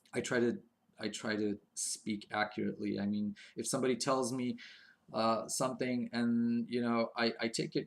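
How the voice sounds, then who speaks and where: A man of medium pitch with a non-native accent at a moderate pace, on a very clean recording with a silent background. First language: not English. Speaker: video blogger. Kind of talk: casual monologue. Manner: halting, many fillers.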